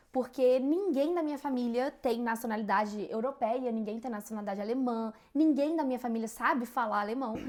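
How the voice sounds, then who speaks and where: A woman speaks in a high voice at a fairly quick pace, with hardly any pauses. Her pitch varies in an ordinary way, and background noise is noticeable. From Brazil, Rio de Janeiro. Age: 20s. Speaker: podcast co-host. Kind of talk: casual chat.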